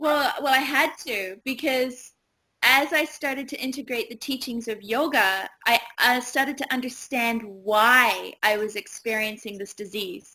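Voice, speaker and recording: A woman's high, bright and sharp voice in a New Zealand accent, fairly slow with ordinary pitch variation, on a very clean recording with a silent background. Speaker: yoga teacher and retreat owner. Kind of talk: interview.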